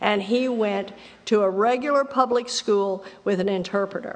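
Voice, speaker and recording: The speaker has a Southern US accent, a moderate pace and ordinary pitch variation. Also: woman. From Texas. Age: 70s. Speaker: AA speaker. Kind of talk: testimony. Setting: stage with audience. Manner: animated.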